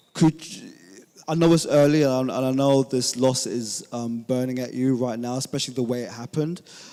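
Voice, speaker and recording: In a London accent, a man speaks at a fairly quick pace with fairly even intonation. His tone is dark and mellow, and his loudness swings widely. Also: medium pitch for a man. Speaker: journalist. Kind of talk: press conference question. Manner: halting, many ums.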